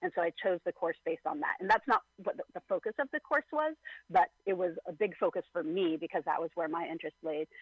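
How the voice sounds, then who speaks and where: Very fast speech from a woman at medium pitch, with very wide pitch swings. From rural area. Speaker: wilderness survival show contestant. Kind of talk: interview. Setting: phone call.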